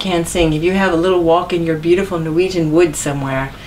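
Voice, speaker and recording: A woman with an American accent at a very fast pace, amid audible room echo and noticeable background noise. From US Northeast, New York. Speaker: author and singer. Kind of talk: interview.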